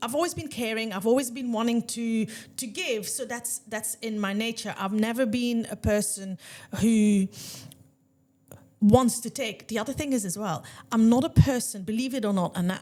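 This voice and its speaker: Her dark, mellow voice sits fairly high for a woman, moving at a moderate pace with ordinary pitch variation. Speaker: salon owner and podcast host. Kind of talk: casual chat. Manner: loud.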